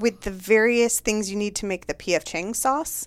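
At a moderate pace, a woman with a fairly high pitch talks in a normal speaking voice with ordinary pitch variation. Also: very clean recording, silent background. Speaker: comedy writer and showrunner. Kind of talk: casual chat.

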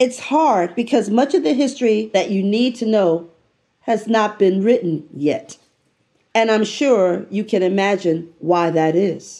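Speaking at a fairly slow pace with lively intonation, a woman with an American accent keeps her loudness very even, her fairly high pitch carried by a dark, mellow tone. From New York City (the Bronx). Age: 70s. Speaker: business school professor and podcast host. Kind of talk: scripted podcast narration and interview.

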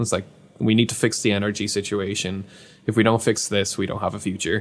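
A man with an Irish accent talks at a fairly quick pace, his fairly low pitch held in fairly even intonation. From Ireland. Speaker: YouTube science creator, engineer. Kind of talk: casual interview chat.

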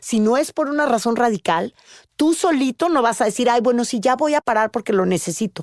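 An ordinary speaking voice from a woman, fairly high and lively in intonation, in a dry, close sound with no echo and a very clean recording with a silent background. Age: 50s. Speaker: podcast host and news anchor. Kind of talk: casual chat.

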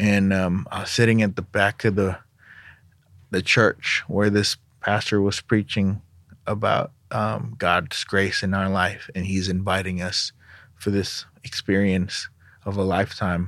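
A man's fairly low, monotone voice with flat intonation. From Indonesia. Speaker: music industry director. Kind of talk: interview conversation. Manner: hesitant, many fillers.

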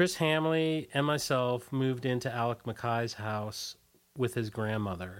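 At a fairly slow pace, a man with a plain, everyday voice speaks at a medium pitch with ordinary pitch variation. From US, Washington D.C. area. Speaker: former punk band singer. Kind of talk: casual interview. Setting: radio studio.

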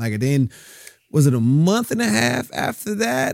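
In a dry, close sound with no echo, a man with an American accent speaks at a moderate pace and medium pitch. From Southern California (Compton, Rialto). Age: 30s. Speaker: actor. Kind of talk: casual chat.

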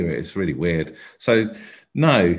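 Very deep, low male voice, its pitch varying in an ordinary way. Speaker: comedian and actor. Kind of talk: casual interview chat. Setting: remote call.

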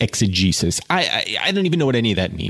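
The reading is done in an unforced voice.

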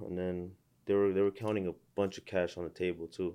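A man's fairly low voice, dark and mellow in tone, over a quiet background. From San Fernando Valley, California; Armenian family. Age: 20s. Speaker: social media creator. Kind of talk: casual chat.

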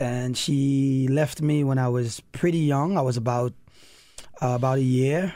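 A man's medium-pitched, dark and mellow voice in a Saint Lucian accent, at a fairly slow pace, with fairly even intonation and very even loudness. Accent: Saint Lucian Caribbean English. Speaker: elementary school principal. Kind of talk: casual chat.

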